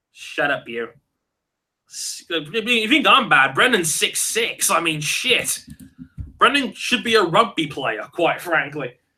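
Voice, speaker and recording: Raising and projecting his high voice, a man speaks very slowly in a bright, sharp tone with very wide pitch swings. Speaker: podcast host. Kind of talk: live stream chat with viewers. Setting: live online video hangout. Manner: casual, halting with many fillers.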